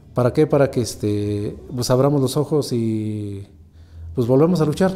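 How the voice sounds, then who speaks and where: Here a man speaks at a fairly slow pace. His pitch varies in an ordinary way. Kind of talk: interview testimony. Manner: halting, many fillers. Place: office.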